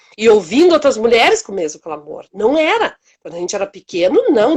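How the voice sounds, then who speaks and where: Very wide pitch swings mark a woman talking at a fairly quick pace. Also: big swings in loudness. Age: 60s. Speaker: community project founder. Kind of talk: interview.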